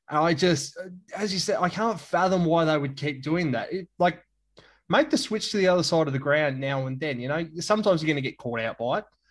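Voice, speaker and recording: A man with an Australian accent and a fairly high pitch speaks at a fairly quick pace with ordinary pitch variation on a very clean recording with a silent background. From Tasmania, Australia. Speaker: journalist. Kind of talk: casual chat.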